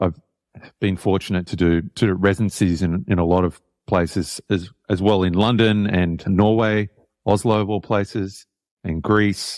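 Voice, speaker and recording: A fairly low-pitched man with an Australian accent, at a moderate pace and in a monotone, flat delivery, recorded dry and close with no echo on a very clean, silent background. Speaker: jazz saxophonist and composer. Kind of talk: interview. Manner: halting, with many repetitions.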